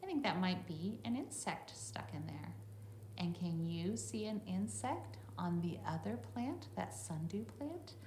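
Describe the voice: Speaking at a fairly slow pace with a fairly low pitch, a woman makes big pitch swings over audible room echo.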